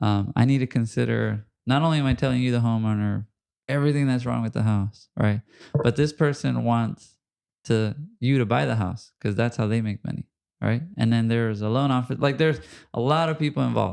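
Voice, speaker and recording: This man speaks at a fairly quick pace. His pitch is medium, with ordinary variation. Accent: Spanish. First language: Spanish. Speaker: podcast host and home inspector. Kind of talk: casual interview chat.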